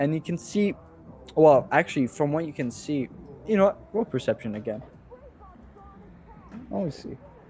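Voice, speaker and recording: With music in the background, a man at fairly high pitch speaks at a moderate pace, using lively intonation and long, frequent pauses. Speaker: game master. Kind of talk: tabletop role-play narration.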